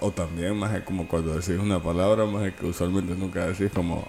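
A man's very deep, low pitch with ordinary pitch variation, over noticeable background noise. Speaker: podcast co-host. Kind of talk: casual chat.

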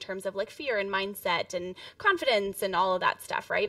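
A woman with a normal speaking voice talks at a fairly quick pace and a medium pitch, with ordinary pitch variation. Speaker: podcast producer. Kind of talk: casual interview.

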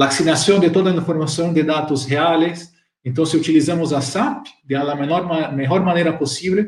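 Spoken with a Portuguese accent, the delivery has ordinary pitch variation and a moderate pace. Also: man. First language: Portuguese (speaking Spanish). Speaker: software channel partner director. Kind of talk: live-streamed panel talk.

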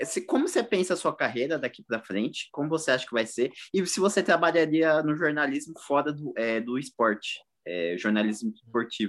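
A man's fairly high voice with very wide pitch swings at a fairly quick pace, on a very clean recording with a silent background. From East Zone of São Paulo, Brazil. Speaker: podcast co-host. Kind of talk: casual chat.

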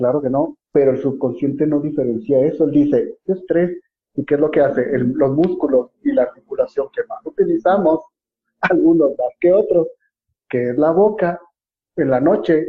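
A man talks at a moderate pace in a Mexican accent. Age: 40s. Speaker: dentist and dental school lecturer. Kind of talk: casual interview on a live stream.

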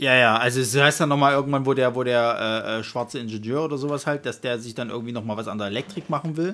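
Very fast and with hardly any pauses, a man talks in a Saxon accent at a medium pitch. His tone is bright and sharp, and the recording is very clean with a silent background. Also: ordinary pitch variation. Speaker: film podcast co-host. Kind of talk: casual chat. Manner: halting, with repetitions.

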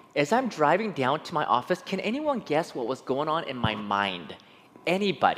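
With an animated tone and some vocal fry, a man talks at a moderate pace, his fairly high pitch swinging very widely. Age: 40s. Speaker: preacher. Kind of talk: sermon.

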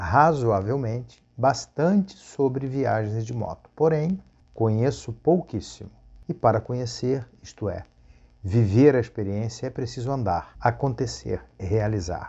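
A man talks at a fairly slow pace with lively intonation. His voice is somewhat breathy. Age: 50s. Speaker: travel agent and motorcyclist vlogger. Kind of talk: monologue vlog.

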